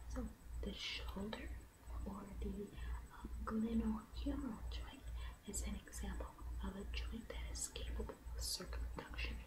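Soft-spoken and monotone, a woman with a very deep, low voice talks at a fairly slow pace over loud background noise. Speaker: ASMR creator. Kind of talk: ASMR anatomy reading. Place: home room. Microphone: studio mic.

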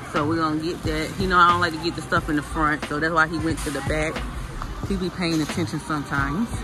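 A man speaks at a very fast pace. The sound is dry with no echo, but noticeable background noise comes through. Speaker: family vlogger. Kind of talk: casual vlog chat. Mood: playful, chatty. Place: shop. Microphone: phone near.

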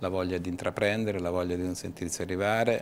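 The delivery is monotone and flat, with light background noise behind it. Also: man. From Tuscany, Livorno; Tuscany. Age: 50s. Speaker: business association director; guest. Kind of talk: TV interview. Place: studio.

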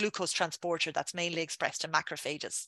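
A woman's bright, sharp voice with an Irish accent, dry with no echo against a quiet background. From Ireland, Dublin. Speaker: scientist. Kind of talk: lecture. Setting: video call. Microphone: webcam.

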